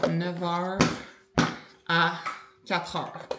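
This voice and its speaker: With a Quebec accent, a woman speaks at a fairly low pitch amid noticeable background noise and audible room echo. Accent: Québécois French. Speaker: lifestyle vlogger. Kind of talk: casual vlog talk. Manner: filler-heavy, conversational.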